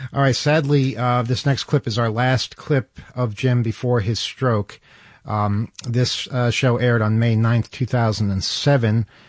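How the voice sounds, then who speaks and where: A man with an ordinary speaking voice talks at a fairly slow pace and a medium pitch. The sound is dry and close with no echo, over a quiet background. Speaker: radio host. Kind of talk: casual chat. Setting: studio.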